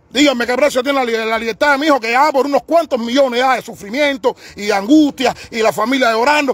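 Over noticeable background noise, a man with an extremely high pitch speaks very fast with hardly any pauses, the sound dry and close with no echo. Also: ordinary pitch variation. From Cuba, Havana. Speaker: parent of a political prisoner, activist. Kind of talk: live-stream testimony and protest. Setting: live stream. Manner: halting, repetitive; emphatic.

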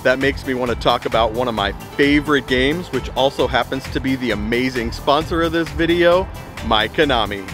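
A man is heard over clear music in the background. The sound is dry, with no echo. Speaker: food vlog host. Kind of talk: casual vlog chat. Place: street.

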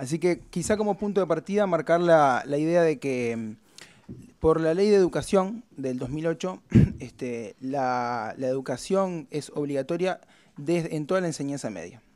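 A man's fairly high-pitched voice, fairly slow in pace, with lively intonation. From Uruguay. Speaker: researcher; presenter. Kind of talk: conference talk. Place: meeting room. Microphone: podium.

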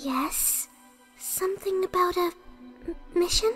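In a put-on character voice, a female-sounding speaker goes at a fairly slow pace with an extremely high pitch while clear music plays in the background. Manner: timid, soft-spoken.

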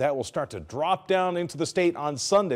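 A man with an American accent talks at a high pitch. His pace is fairly quick. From Southern California. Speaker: TV meteorologist. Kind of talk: TV weather forecast. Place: studio.

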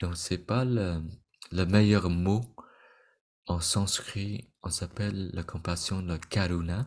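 A man speaks at a very slow pace with a very deep, low pitch and fairly even intonation. Long, frequent pauses break up his speech against a quiet background. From Vietnamese immigrant family. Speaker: meditation teacher. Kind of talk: lecture. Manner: halting. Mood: calm, gentle. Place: home room.

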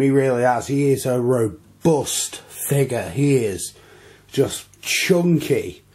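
Somewhat breathy, a man speaks at a fairly high pitch with a dark, mellow tone and ordinary pitch variation. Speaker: toy reviewer. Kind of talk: product review. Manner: enthusiastic.

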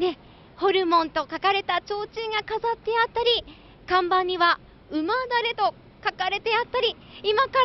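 A woman with an extremely high pitch and ordinary pitch variation is heard in a dry recording with no echo over light background noise. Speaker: TV reporter. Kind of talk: TV location report. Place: street. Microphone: handheld.

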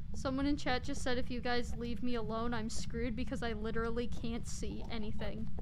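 A woman speaks with hardly any pauses. Noticeable background noise runs behind her. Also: fairly quick pace. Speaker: gaming livestreamer. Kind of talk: casual gaming livestream chat. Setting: online voice chat while streaming. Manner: animated.

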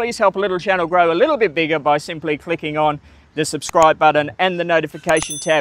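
Over light background noise, a man talks very fast in a dry sound with no echo. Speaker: travel vlogger. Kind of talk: casual vlog chat. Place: open country.

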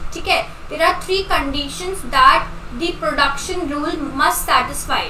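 In a raised, projected voice, a woman speaks with audible room echo and light background noise. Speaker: online exam tutor. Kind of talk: lecture.

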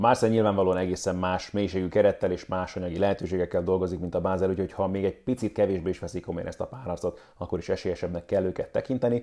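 A man speaks at a very fast pace in a very deep, low voice with a dark, mellow tone. His intonation stays fairly even against a quiet background. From Hungary. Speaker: sports commentator and YouTuber; sports commentator, YouTuber. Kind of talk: football match preview. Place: home room.

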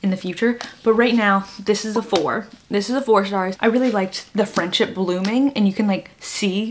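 The voice sounds natural. It is reading aloud.

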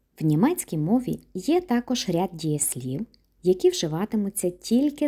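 A woman of medium pitch speaks at a fairly slow pace in a somewhat breathy, dark, mellow tone, her pitch swinging very widely. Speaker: German language teacher. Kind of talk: lecture.

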